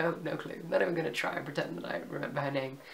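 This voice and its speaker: Over noticeable background noise, a woman speaks at a very deep, low pitch. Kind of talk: casual review to camera. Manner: hesitant, casual.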